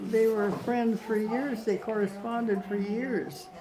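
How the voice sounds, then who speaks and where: Amid noticeable background noise and audible room echo, a woman with a Canadian accent speaks at a very slow pace in a fairly high pitch. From Canada. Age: 80s+. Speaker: elderly mother. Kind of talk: casual interview. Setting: care home visit.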